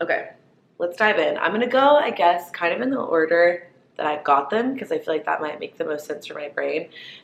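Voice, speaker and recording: Very wide pitch swings at a fairly quick pace over noticeable background noise. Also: woman, fairly low pitch for a woman. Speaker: lifestyle vlogger. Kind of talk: casual chat. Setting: sitting down, filming to camera. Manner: chatty, filler-heavy.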